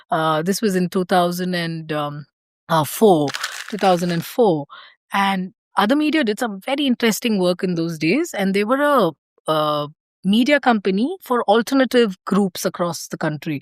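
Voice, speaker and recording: A woman speaks with a South Indian accent and lively intonation. The recording is very clean, with a silent background. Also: medium pitch for a woman, moderate pace, dry, close sound with no echo. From India, Karnataka (small mining town near Bangalore). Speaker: organisational change and systems designer. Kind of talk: podcast interview, casual conversation. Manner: hesitant, frequent fillers and restarts.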